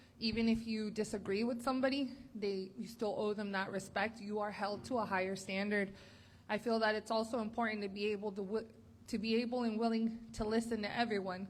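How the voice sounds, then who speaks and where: Talking at a fairly quick pace, a woman has a fairly high pitch and a Spanish accent. Her intonation is monotone and flat. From US, Spanish-speaking family. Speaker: political candidate. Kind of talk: candidate forum answer.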